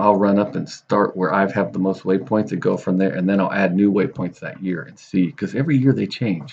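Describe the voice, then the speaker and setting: Over a quiet background, a man speaks with vocal fry at a moderate pace. His pitch is fairly low, with ordinary variation. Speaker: fishing channel host. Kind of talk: tutorial. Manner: loud; casual.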